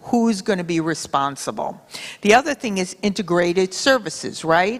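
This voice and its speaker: Moving at a moderate pace, a plain, everyday voice shows ordinary pitch variation. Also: woman. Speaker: panelist, behavioral health organization leader. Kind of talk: conference panel talk.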